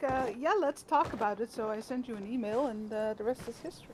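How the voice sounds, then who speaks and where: With a Dutch accent, a woman speaks at a very fast pace in a high pitch with ordinary pitch variation, against noticeable background noise. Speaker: gaming streamer. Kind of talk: casual chat. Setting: live stream.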